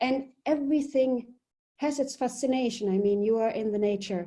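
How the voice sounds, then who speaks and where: A woman speaks with a German accent and a fairly high pitch. Her tone is dark and mellow. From Germany. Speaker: polar expedition leader. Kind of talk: webinar presentation. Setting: video webinar.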